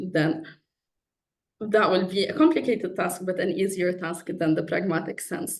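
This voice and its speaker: In an Arabic accent, a woman talks at a moderate pace and medium pitch with ordinary pitch variation, audible room echo around her. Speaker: PhD researcher in philosophy. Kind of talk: conference talk.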